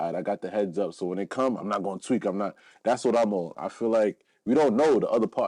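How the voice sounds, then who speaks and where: A man with a New York accent talks at a very fast pace in a fairly low pitch, with a dark, mellow tone and ordinary pitch variation. The sound is dry and close with no echo, over a quiet background. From New York (Brooklyn, Long Island). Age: 30s. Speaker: podcaster and rapper. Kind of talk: casual interview.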